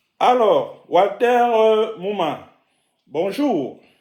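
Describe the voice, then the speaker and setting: A man's voice is heard with audible room echo. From Cameroon. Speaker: web journalist, interviewer. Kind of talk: interview. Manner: hesitant, many filler sounds.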